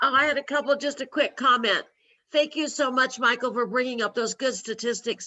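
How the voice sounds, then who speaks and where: A woman speaks in a high pitch with fairly even intonation. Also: fairly quick pace. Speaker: stroke survivor support group leader. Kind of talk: support group video meeting.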